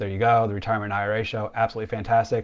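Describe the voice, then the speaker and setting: A very clean recording of a man with fairly low pitch, background silent. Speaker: financial planner. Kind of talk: live stream Q&A. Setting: Facebook live stream. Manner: fast; animated.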